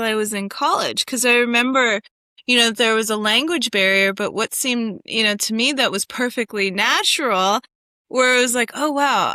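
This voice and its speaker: A woman with a high pitch and a bright, sharp tone speaks at a moderate pace in a dry, close sound with no echo. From USA, Connecticut. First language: German. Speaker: AI researcher and entrepreneur. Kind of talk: interview conversation.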